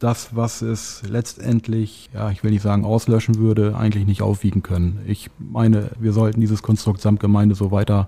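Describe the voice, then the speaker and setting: This man has an unremarkable speaking voice, fairly low in pitch. He keeps a moderate pace with fairly even intonation. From Lower Saxony, Barnstorf. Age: 40s. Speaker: mayoral candidate, civil servant. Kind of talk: candidate interview.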